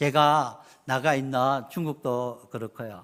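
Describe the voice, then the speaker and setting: This is a man speaking at a medium pitch. The recording is very clean and the background silent. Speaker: missionary. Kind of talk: sermon. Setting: church. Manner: halting.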